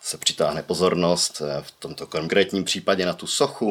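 A man's plain, everyday voice, with fairly even intonation and a moderate pace. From Czech Republic, Ostrava. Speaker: social media city promoter. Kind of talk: casual chat.

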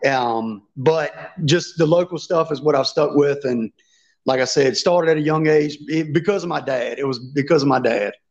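This man speaks with a Southern US accent. His pitch sits fairly high. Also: ordinary pitch variation. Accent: Southern US, noticeable country drawl. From Virginia. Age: 30s. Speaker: fishing YouTuber and tournament angler. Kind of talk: casual interview chat.

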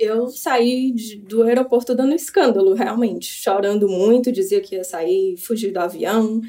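At a fairly slow pace, a woman talks in an unremarkable speaking voice with a fairly high pitch and ordinary pitch variation. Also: hardly any pauses. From Brazil, Fortaleza. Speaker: Brazilian immigrant sharing life story. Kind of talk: interview storytelling.

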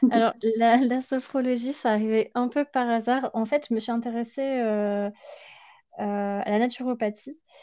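Fairly high in pitch yet dark and mellow in tone, a woman talks at a fairly slow pace with fairly even intonation. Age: 30s. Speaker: sophrologist and Ayurveda practitioner. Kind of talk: interview. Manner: halting.

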